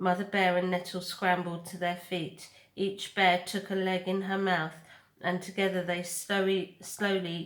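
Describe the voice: What you hear is plain reading aloud.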